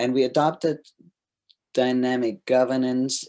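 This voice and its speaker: A man speaks with a German accent in a very clean recording with a silent background. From Germany. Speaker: governance consultant. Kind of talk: presentation.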